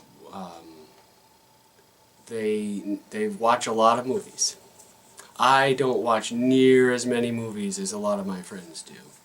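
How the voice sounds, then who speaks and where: Speaking very slowly with long, frequent pauses, a man at medium pitch swings widely in loudness over noticeable background noise. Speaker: RPG video blogger. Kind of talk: casual vlog monologue. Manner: halting, many fillers.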